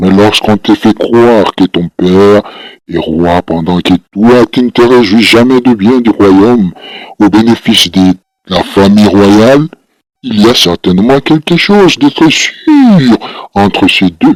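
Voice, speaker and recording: A man puts on a character voice with very even loudness. The sound is dry and close, with no echo. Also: fairly low pitch for a man, fairly slow pace. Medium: read story.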